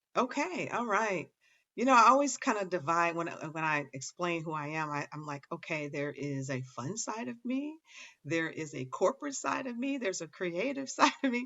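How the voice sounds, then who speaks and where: Her pitch swinging very widely, a woman with a fairly low voice talks at a moderate pace. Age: 60s. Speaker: author, speaker and life coach. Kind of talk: interview. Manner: halting.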